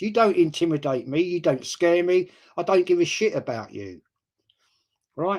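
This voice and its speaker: A man in an animated tone, at a moderate pace, with very wide pitch swings. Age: 60s. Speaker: football YouTuber. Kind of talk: live stream chat.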